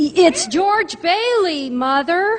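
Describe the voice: Putting on a character voice, a woman speaks at an extremely high pitch and a very slow pace with lively intonation.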